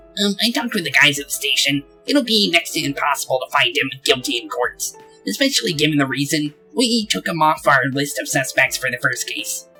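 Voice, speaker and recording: A put-on character voice plays over faint music in the background. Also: man, fairly high pitch for a man, fairly quick pace. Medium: actual play. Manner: matter-of-fact.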